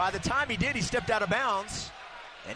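Over noticeable background noise, a man speaks in a raised, projected voice that is high-pitched with lively intonation. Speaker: play-by-play announcer. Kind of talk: live sports commentary, play-by-play. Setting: arena broadcast, radio.

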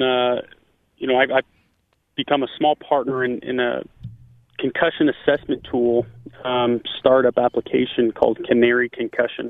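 His voice is a plain, everyday voice. This man keeps a medium pitch and a moderate pace. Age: 30s. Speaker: former pro football receiver. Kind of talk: interview.

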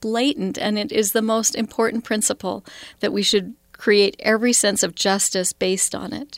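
With a dry, close sound and no echo, a woman with an American accent speaks in a normal speaking voice, fairly high in pitch, at a moderate pace with fairly even intonation. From Idaho, US. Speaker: college spiritual life director. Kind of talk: interview.

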